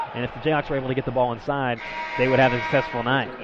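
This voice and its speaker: This is a man speaking. Noticeable background noise runs underneath. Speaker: color commentator. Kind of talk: live sports commentary, color analysis. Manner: conversational, explanatory, upbeat.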